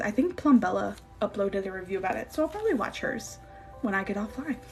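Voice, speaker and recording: The speaker talks at a fairly quick pace. Background noise is noticeable. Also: woman. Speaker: gaming streamer. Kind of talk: live stream Q&A. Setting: live stream. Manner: fast; animated.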